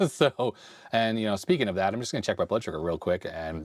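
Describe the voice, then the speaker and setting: The man's voice makes very wide pitch swings, recorded with a dry, close sound and no echo. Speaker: retro computer repair YouTuber. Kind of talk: casual tutorial. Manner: casual, thinking aloud.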